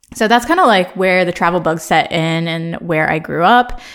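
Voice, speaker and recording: A woman speaks in a Midwestern accent with vocal fry. Her pace is moderate and her pitch varies in an ordinary way. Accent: American Midwestern. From Ohio, US Midwest. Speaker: podcast host. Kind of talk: casual monologue. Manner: casual, chatty.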